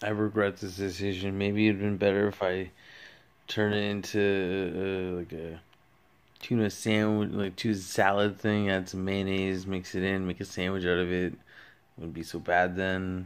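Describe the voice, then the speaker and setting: Very deep and low-pitched, a man talks at a moderate pace in a monotone, flat delivery. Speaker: vlogger. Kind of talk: casual vlog chat. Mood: disgusted, amused, regretful. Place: home room. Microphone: phone near.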